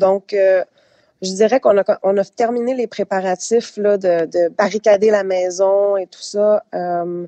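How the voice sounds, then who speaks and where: A woman talks at a very slow pace at medium pitch, with ordinary pitch variation and a dark, mellow tone. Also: dry, close sound with no echo. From Quebec. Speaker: hurricane-affected resident. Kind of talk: radio interview.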